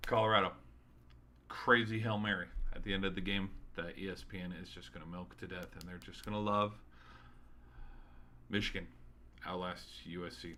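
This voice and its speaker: With a bright, sharp tone and fairly even intonation, the speech has big swings in loudness, long, frequent pauses and audible room echo. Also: man, fairly low pitch for a man. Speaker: sports streamer. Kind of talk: solo sports recap podcast. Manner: halting, stuttering; casual, rambling.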